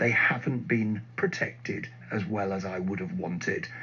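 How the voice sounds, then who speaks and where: Very wide pitch swings at a fairly slow pace over noticeable background noise. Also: man. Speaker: radio news presenter. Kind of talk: radio news interview.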